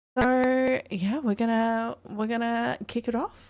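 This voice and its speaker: A woman with a fairly high voice and an Australian accent. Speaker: streamer. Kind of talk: live gameplay commentary. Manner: casual, thinking aloud.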